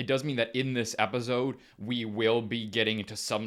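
This man has a plain, everyday voice at medium pitch. He keeps a moderate pace and fairly even intonation. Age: 30s. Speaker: podcast co-host. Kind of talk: casual chat.

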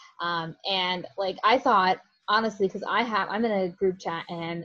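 With an American accent, a woman has an unremarkable speaking voice. Her pitch is medium with ordinary variation. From Florida, St. Petersburg. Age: young. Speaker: sports fan guest. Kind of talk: casual chat.

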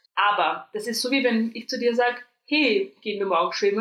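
Speaking at a moderate pace, a woman uses a fairly high pitch with ordinary pitch variation. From Austria. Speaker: podcast co-host. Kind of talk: casual chat.

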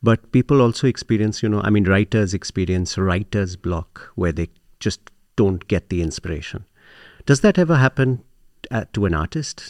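A man with an ordinary speaking voice talks at a moderate pace and a fairly low pitch, with lively intonation. The recording is very clean with a silent background, and the sound is dry and close with no echo. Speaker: podcast host. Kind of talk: interview. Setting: on location at a meditation center.

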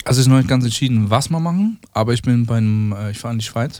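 A man speaks with medium pitch. His pace is fairly quick. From Switzerland. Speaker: chef. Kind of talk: casual chat.

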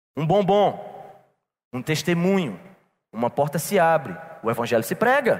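At a moderate pace, a man speaks with a high pitch, very wide pitch swings and long, frequent pauses. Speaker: pastor. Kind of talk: sermon. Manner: animated.

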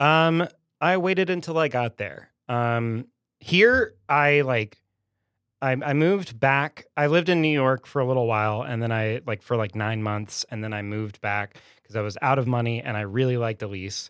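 At a moderate pace, a man with an unremarkable speaking voice speaks at medium pitch with lively intonation on a very clean recording with a silent background. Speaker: bartender. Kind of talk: casual chat. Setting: studio.

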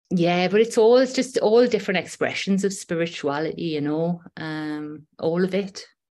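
A woman in a strong Geordie accent, dark, mellow tone, lively intonation, moderate pace and hardly any pauses. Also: medium pitch for a woman, quiet background. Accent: Geordie, fairly strong. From Newcastle, northeast England. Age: 40s. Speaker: breathwork facilitator and shamanic practitioner. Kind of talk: casual interview chat, personal storytelling. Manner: chatty, conversational with fillers.

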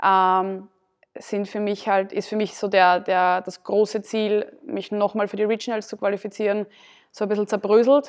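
The recording is very clean with a silent background as a woman speaks fairly slowly at medium pitch, in a monotone, flat intonation. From Austria, southern Burgenland. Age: 20s. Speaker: CrossFit athlete and gym owner. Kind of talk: casual interview.

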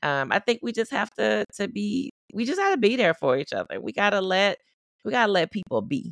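A woman of medium pitch speaks fairly quickly with vocal fry and very wide pitch swings, in a dry, close sound with no echo. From US South, Baton Rouge, Louisiana. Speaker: psychiatrist. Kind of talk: casual interview.

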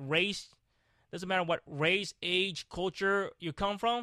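In a very clean recording with a silent background, a man speaks in a raised, projected voice at a high pitch. The sound is dry and close with no echo, and his tone is angry and animated. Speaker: podcast host. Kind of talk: motivational rant. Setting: video recording. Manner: angry, emphatic, repeating short commands; animated, passionate, swearing, scolding the listener.

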